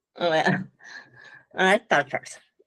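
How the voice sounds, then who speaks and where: With a Spanish accent, a woman speaks in a dry, close sound with no echo. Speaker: scientist. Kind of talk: panel discussion.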